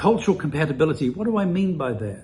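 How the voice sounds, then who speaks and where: With a New Zealand accent, a man speaks at a fairly quick pace in a dark, mellow tone that is somewhat breathy. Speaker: immigration consultant. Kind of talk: presentation.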